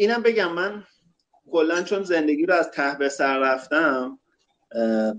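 The intonation is lively and the pace fairly slow. Long pauses come often. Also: man. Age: 30s. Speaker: game designer. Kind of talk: casual interview.

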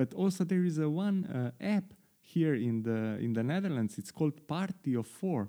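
A man with a Slovenian accent speaks at a moderate pace in a dark, mellow tone. His fairly high voice makes very wide pitch swings. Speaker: podcast host. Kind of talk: interview. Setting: video call.

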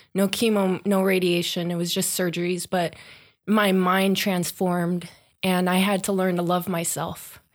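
A nervous tone in monotone, flat intonation at a moderate pace, on a very clean recording with a silent background. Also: woman, medium pitch for a woman. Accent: American. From Long Beach, California. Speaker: breast cancer survivor and locomotive engineer. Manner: nervous, laughs often.

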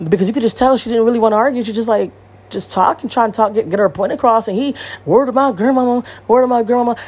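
Very fast pace and an animated tone from a woman with an American accent, at a fairly high pitch with ordinary pitch variation. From Connecticut, US. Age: 30s. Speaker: podcast host. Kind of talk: casual solo monologue. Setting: home recording. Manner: animated, many fillers.

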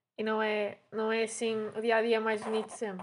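This woman speaks at a fairly high pitch. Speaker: podcast host, veterinary student. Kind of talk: casual chat.

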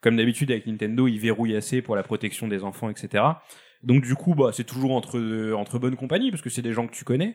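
A man rattles along very fast on a very clean recording with a silent background. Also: medium pitch for a man, ordinary pitch variation. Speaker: video game specialist. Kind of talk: casual chat. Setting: studio.

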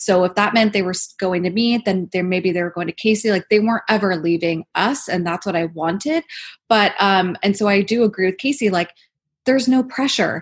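A woman talks at a fairly quick pace in an unremarkable speaking voice. Her pitch is medium with ordinary variation, and the background is quiet. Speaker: esthetician and podcaster. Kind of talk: interview, casual chat.

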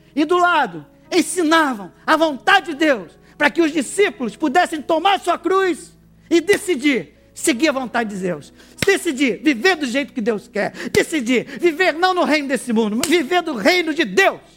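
A man's extremely high, animated voice with lively intonation at a moderate pace, music in the background. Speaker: preacher. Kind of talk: sermon. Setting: church with congregation. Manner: animated, exhorting the congregation, call-and-response; emphatic, preacherly delivery.

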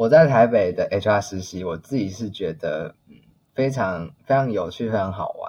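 A man's somewhat breathy voice at medium pitch, moderate pace, ordinary pitch variation and big swings in loudness. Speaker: HR employee. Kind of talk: casual interview. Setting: remote call.

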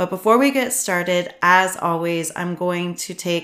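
Her pitch fairly low, a woman speaks at a fairly slow pace. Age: 40s. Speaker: podcast host and trauma support coach. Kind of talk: solo podcast monologue.

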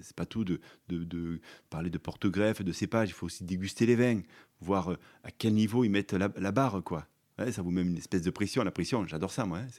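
Very deep and low, a man's voice moves at a fairly quick pace with ordinary pitch variation and big swings in loudness. The recording is very clean, with a silent background. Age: 50s. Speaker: vine nurseryman. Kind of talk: interview. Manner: halting.

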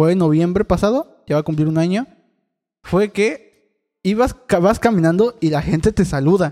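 With a dark, mellow tone and high pitch, a man speaks at a moderate pace with ordinary pitch variation and long, frequent pauses, in a dry, close sound with no echo. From Veracruz, Mexico (Catemaco). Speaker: podcast co-host. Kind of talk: casual chat.

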